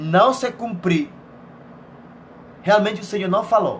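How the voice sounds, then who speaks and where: A man speaks at a moderate pace with a Venezuelan accent, his voice pitched high. His pitch varies in an ordinary way, and the room echo is audible. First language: Spanish (speaking Portuguese). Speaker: missionary preacher. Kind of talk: sermon.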